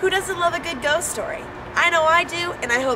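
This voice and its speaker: Noticeable background noise behind a woman's speech. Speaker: student TV reporter. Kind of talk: news feature reporting.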